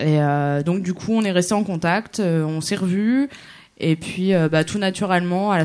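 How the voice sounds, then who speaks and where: A woman with an ordinary speaking voice talks at a moderate pace in a fairly low pitch with ordinary pitch variation. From Germany. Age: 20s. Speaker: concert promoter, runs an association. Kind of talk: casual interview. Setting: live radio in a cabaret with audience.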